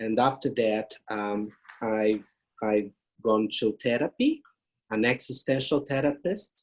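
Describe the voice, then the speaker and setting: A man speaks with a Brazilian accent at a very slow pace. His medium pitch shows ordinary variation. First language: Portuguese. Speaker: grief therapist and palliative care professor. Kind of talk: interview. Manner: halting non-native English.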